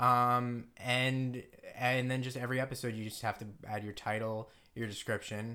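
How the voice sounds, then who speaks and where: A man's medium-pitched voice carries a bright, sharp tone. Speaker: podcast host and actor. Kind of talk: casual chat. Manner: rambling, hesitant.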